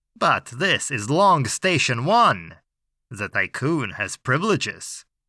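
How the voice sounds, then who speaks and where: A man performs a put-on character voice at medium pitch with very wide pitch swings. He speaks at a fairly slow pace, the sound dry and close with no echo. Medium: read story. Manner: dry, weary, lawyerly.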